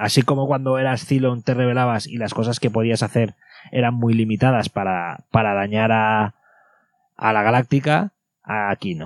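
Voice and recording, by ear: A man with a plain, everyday voice speaks at a medium pitch and a moderate pace, his intonation fairly even, the sound dry and close with no echo on a very clean recording with a silent background.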